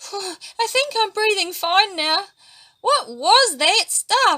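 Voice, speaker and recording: Using a put-on character voice, a woman squeaks at an extremely high pitch, swinging very widely in pitch at a very slow pace. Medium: read story.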